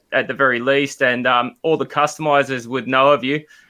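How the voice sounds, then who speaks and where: A man with an Australian accent speaks in a fairly high voice with a bright, sharp tone against a quiet background. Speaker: podcast co-host. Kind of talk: casual chat. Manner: loud, excited.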